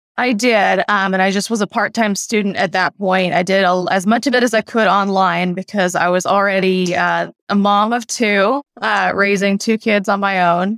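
A woman with a normal speaking voice, medium in pitch, at a moderate pace with fairly even intonation and very even loudness, in a very clean recording with a silent background and a dry, close sound with no echo. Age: 30s. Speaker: CPA exam candidate, former teacher turned bookkeeper. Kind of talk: interview.

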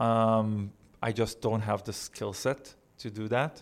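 A man's fairly low-pitched voice on a very clean recording with a silent background. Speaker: thought leadership head at tech company. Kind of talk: casual interview conversation. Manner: hesitant, repeats words, informal.

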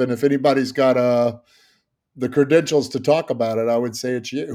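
The pace here is fairly quick. It is a normal speaking voice. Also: man. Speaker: podcast host. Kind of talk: interview conversation.

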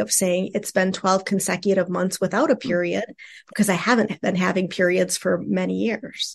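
Vocal fry at a moderate pace over a quiet background. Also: woman. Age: 50s. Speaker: sex therapist and clinical social worker. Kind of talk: casual interview.

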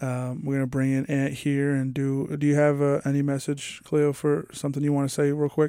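This man speaks with an American accent at a fairly high pitch, in a dark, mellow tone. His delivery is monotone and flat, at a fairly quick pace with hardly any pauses. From New York. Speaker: college radio sports co-host. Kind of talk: casual sports chat.

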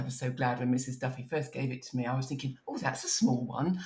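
A woman's somewhat breathy voice at a very deep, low pitch. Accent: southern English. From southern England (Kent). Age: 50s. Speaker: novelist. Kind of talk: podcast interview.

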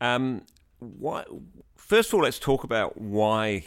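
In a very clean recording with a silent background, a man speaks with an English accent. His pace is fairly slow. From England. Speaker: podcast host. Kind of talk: interview.

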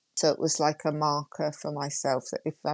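Over a quiet background, a woman with a Yorkshire accent talks at a fairly slow pace in a dry, close sound with no echo. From Yorkshire, northern England. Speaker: GP and coach. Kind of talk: interview conversation.

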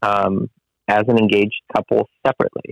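A man with an American accent. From Whittier, Los Angeles area, California. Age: 30s. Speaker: construction business owner. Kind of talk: interview. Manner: halting, many fillers.

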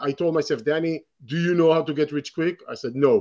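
With an Israeli accent, a man speaks at a fairly high pitch. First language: Hebrew. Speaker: real estate investor and educator. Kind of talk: interview.

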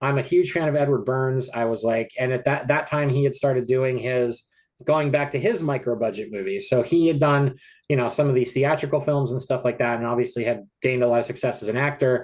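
Over a quiet background, an unremarkable speaking voice moves at a fairly quick pace with an American accent. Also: man. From US small town. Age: 40s. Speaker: film editor and independent horror filmmaker. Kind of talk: interview.

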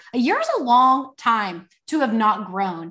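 A woman with a Texan accent, a bright, sharp tone and ordinary pitch variation. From Texas. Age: 20s. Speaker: faith entrepreneur. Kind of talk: casual chat. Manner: animated.

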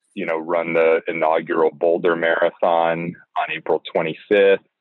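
In a monotone, flat delivery, a man speaks at a very deep, low pitch. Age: 30s. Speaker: amateur ultra runner. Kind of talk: consult call. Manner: halting.

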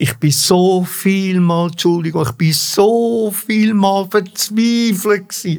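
A very slow Swiss accent with hardly any pauses, very even loudness and ordinary pitch variation. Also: man, high pitch for a man. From Switzerland, Engelberg then Zurich. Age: 80s+. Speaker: former opera singer. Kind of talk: life story interview. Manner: halting.

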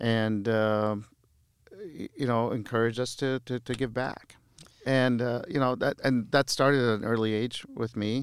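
A man's medium-pitched voice with a Midwestern US accent, moderate pace, monotone, flat intonation and long, frequent pauses. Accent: US Midwest. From Lebanon, raised in Iowa from childhood. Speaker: mayor and lawyer. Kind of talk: casual interview chat. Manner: halting, with frequent repeated words.

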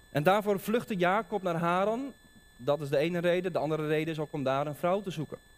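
A man with a high voice talks at a very fast pace. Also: ordinary pitch variation. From Netherlands, Dordrecht (South Holland). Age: 30s. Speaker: preacher. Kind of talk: sermon. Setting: church.

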